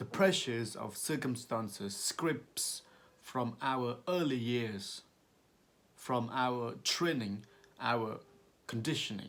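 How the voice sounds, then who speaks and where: Long, frequent pauses break up a very slow delivery. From Cambodia. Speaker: amateur reader. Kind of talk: reading aloud. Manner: halting.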